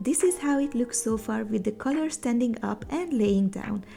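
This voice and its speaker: Music plays in the background as a woman speaks at a moderate pace. Her pitch is fairly high, and she has a non-native accent. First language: not English. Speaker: sewing content creator. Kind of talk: sewing tutorial voiceover. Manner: upbeat, casual.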